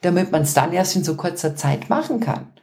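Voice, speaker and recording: Noticeable background noise sits behind this woman. She speaks with lively intonation. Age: 40s. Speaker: podcast co-host and business coach. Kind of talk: casual chat. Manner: animated.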